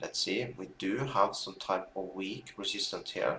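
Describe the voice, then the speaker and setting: A man is speaking at a fairly slow pace. He has a non-native accent. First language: not English. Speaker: binary options trader streamer. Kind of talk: live trading stream commentary. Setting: live stream with chat. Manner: halting, with filler words.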